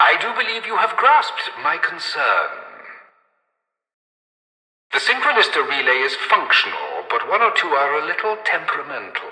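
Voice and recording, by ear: A put-on character voice with a bright, sharp tone, very wide pitch swings, a moderate pace, and audible room echo. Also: man, fairly high pitch for a man.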